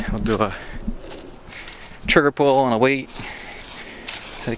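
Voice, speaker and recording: Noticeable background noise behind a male speaker. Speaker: gun channel vlogger. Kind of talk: walking vlog tour. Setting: outdoors. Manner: not loud.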